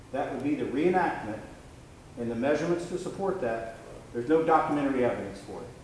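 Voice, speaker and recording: With audible room echo and noticeable background noise, a man speaks at a very fast pace, his pitch fairly high and his intonation lively. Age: 50s. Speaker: defense attorney. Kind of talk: cross-examination at a hearing. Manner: confrontational.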